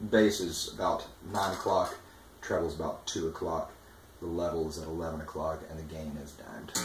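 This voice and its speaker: Music plays in the background as a man with a very deep, low pitch speaks with audible room echo. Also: fairly quick pace. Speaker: guitarist demoing gear. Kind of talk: product demo. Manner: animated.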